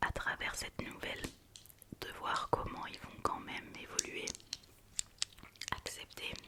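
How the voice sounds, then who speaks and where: Very slowly and in a whisper, a woman speaks against noticeable background noise. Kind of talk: ASMR whisper video with movie review talk to camera. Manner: whispered, soft-spoken.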